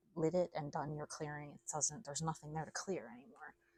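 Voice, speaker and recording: A woman talks at a fairly quick pace in a very deep, low pitch, somewhat breathy, with a dark, mellow tone and ordinary pitch variation. The recording is dry and close with no echo. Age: adult. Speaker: tarot reader. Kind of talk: casual spiritual reading. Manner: casual, chatty.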